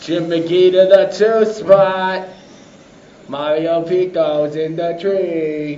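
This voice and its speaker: Speaking very slowly in a high voice, a man is heard with audible room echo and noticeable background noise. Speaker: race announcer. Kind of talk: live commentary. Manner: animated; loud.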